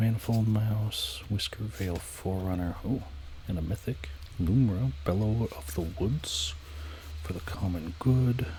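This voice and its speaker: A man with a very deep, low voice speaks in a relaxed tone with lively intonation over noticeable background noise. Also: fairly slow pace. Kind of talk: ASMR card-sorting talk to camera. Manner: soft-spoken, whispered, relaxed.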